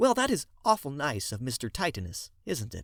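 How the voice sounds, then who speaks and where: Putting on a character voice, a man speaks at a moderate pace in a fairly high pitch with very wide pitch swings and big jumps in loudness, captured in a very clean recording with a silent background. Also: dry, close sound with no echo. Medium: read story.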